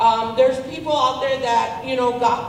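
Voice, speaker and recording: A woman with a high pitch speaks at a moderate pace, with noticeable background noise and audible room echo. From northern New Mexico. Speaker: resident asking questions. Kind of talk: public question at town hall. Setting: town hall with audience.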